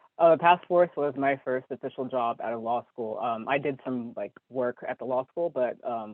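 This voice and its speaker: A man with an American accent talks in a normal speaking voice, medium in pitch with ordinary pitch variation. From California. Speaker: human rights lawyer. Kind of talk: interview.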